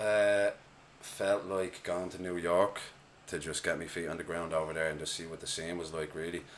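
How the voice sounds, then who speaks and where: Over noticeable background noise, a man with an Irish accent talks at a moderate pace in a very deep, low pitch with monotone, flat intonation. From Ireland, Dublin. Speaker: hip-hop artist. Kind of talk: casual chat.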